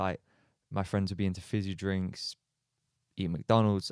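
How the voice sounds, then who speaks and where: An English accent at a fairly quick pace, on a very clean recording with a silent background and a dry, close sound with no echo. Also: man. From Australia. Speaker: footballer. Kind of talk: podcast interview. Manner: casual, hesitant with fillers.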